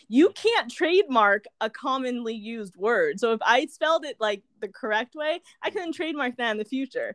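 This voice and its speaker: A woman speaks at a moderate pace in a high voice with very wide pitch swings. There are hardly any pauses, and the sound is dry and close with no echo. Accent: American. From California. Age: 20s. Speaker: wellness coach and business founder. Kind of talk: casual interview chat.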